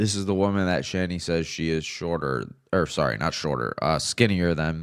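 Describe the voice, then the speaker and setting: Over a very clean recording with a silent background, a man with a very deep, low pitch speaks at a moderate pace with ordinary pitch variation. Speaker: streamer. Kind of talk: live stream commentary. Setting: live stream.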